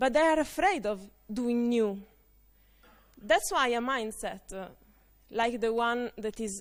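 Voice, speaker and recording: A woman with an Italian accent speaks at a moderate pace, fairly high in pitch, with lively intonation. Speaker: conference speaker. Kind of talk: conference talk. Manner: halting, many fillers.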